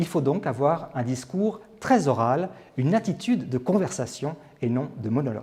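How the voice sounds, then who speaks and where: A man's somewhat breathy voice, fairly high in pitch, with a dark, mellow tone and very wide pitch swings. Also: moderate pace. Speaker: TV presenter and on-camera coach. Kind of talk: instructional tips to camera. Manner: whispered.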